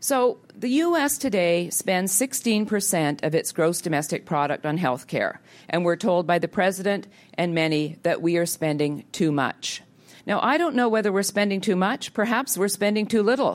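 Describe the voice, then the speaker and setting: Speaking in a Canadian accent, a woman with a plain, everyday voice uses lively intonation at a moderate pace and medium pitch, her loudness very even on a very clean recording with a silent background. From Canada. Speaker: health policy think tank head. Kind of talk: public policy talk. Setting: auditorium with audience.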